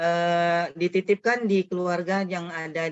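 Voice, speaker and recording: A woman speaks with a fairly low pitch. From Riau, Indonesia. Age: 50s. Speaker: educator, foundation founder. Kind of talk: webinar talk.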